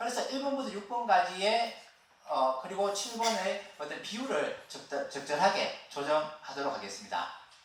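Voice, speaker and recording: A man with a high voice talks at a moderate pace, his pitch swinging very widely. The room echo is audible, and background noise is noticeable. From Gyeongsangbuk-do, Korea (Gyeongju). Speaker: education administration researcher. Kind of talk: conference presentation. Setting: stage with audience.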